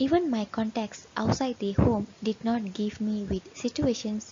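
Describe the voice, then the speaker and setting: A woman with a non-native accent speaks at a fairly slow pace. Her pitch is fairly high, and there is noticeable background noise. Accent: non-native English, merges V and W. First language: not English. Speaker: pre-service teacher. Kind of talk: class presentation. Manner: formal.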